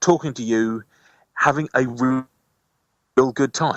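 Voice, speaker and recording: A man with a medium-pitched voice speaks with an English accent. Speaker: community radio presenter and station manager. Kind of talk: radio interview. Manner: fast talking with lots of intonation on his own shows.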